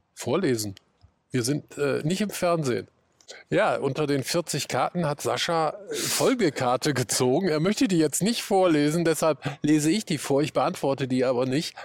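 At a moderate pace, a man speaks in a fairly high pitch with ordinary pitch variation and very even loudness. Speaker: podcast host. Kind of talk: casual interview; scripted narration. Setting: outdoors.

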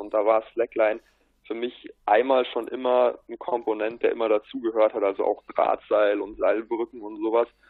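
A man at a moderate pace. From Bavaria, south of Munich. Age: young. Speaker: stand-up paddling athlete. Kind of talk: casual interview.

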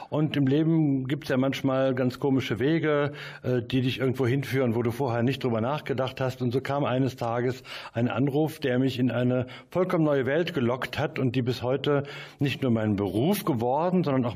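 This man has a normal speaking voice, pitched medium with ordinary pitch variation. He keeps a moderate pace at a very even loudness. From Mönchengladbach, Lower Rhine, western Germany. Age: 60s. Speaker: music promoter. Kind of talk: interview. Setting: studio.

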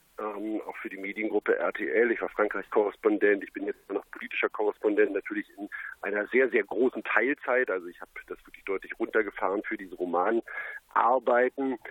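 A man at a fairly quick pace. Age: 30s. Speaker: crime novelist and TV journalist. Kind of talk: interview. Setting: phone call.

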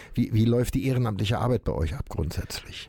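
On a very clean recording with a silent background, a man speaks at a medium pitch with a dark, mellow tone and ordinary pitch variation. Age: 70s. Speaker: podcast host, recovered alcoholic. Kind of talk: interview. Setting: studio. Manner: halting, many fillers.

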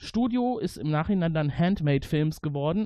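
A man talks at a moderate pace in a normal speaking voice. His pitch sits fairly high. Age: 40s. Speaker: podcast host. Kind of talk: casual chat.

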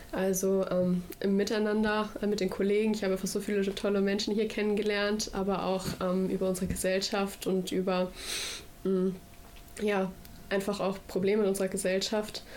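A woman at a moderate pace, flat and monotone, her loudness very even, with audible room echo. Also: medium pitch for a woman. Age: 20s. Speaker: federal volunteer at a food bank. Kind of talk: radio interview.

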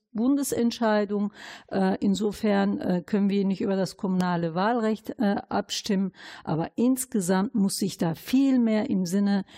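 A woman speaks very slowly in a somewhat breathy voice with a dark, mellow tone, medium pitch and ordinary pitch variation. The recording is very clean, dry and close, with a silent background and no echo. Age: 50s. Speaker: city councillor and integration worker. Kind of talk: interview conversation.

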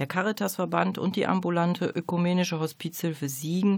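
On a very clean recording with a silent background, a woman uses a normal speaking voice with fairly low pitch and ordinary pitch variation. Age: 40s. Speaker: hospice coordination manager, social worker. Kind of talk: radio interview. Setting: radio studio. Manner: formal.

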